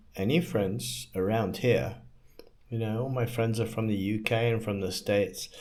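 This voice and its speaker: With an American accent, a man talks at a fairly slow pace and medium pitch. His tone is dark and mellow, and room echo is audible. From England. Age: 60s. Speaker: vlogger. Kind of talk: personal monologue. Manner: halting.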